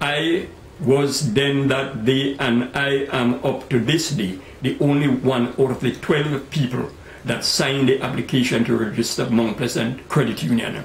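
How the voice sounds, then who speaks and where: A man with a Tobagonian accent talks fairly slowly at a medium pitch with ordinary pitch variation, amid noticeable background noise. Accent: Tobagonian Caribbean English. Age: 80s+. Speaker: credit union founder. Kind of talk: interview answer.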